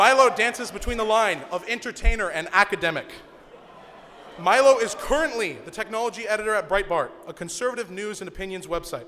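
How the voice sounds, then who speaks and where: Over noticeable background noise, a man with a high pitch speaks in a raised, projected voice at a fairly quick pace, with ordinary pitch variation and big swings in loudness. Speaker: student club organizer introducing speaker. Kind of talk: event introduction speech. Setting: stage with audience.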